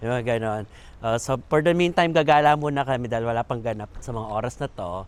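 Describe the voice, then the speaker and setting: There is noticeable background noise behind this recording. A man talks at medium pitch with ordinary pitch variation. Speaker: vlogger and comedian. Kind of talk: travel vlog. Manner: animated.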